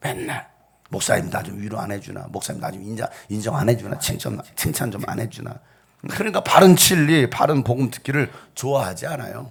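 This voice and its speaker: Someone with an ordinary speaking voice talks at a fairly quick pace with lively intonation and big swings in loudness. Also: man, medium pitch for a man. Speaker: pastor. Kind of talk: sermon. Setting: church.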